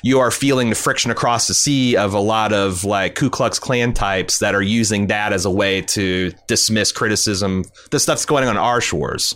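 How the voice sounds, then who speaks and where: With an American accent, a man uses a normal speaking voice at fairly low pitch, with ordinary pitch variation, a moderate pace, hardly any pauses and very even loudness. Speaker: podcast host. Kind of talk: casual chat.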